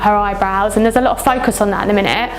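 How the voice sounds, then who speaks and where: Music plays in the background as the voice moves at a very fast pace. The intonation stays monotone and flat. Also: woman. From southern England, West Sussex. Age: 20s. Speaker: model and reality TV contestant. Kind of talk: interview.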